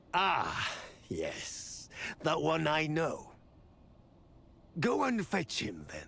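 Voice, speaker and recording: Speaking very slowly in a put-on character voice, a man uses a fairly high pitch and leaves long, frequent pauses. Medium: video game. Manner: measured, authoritative.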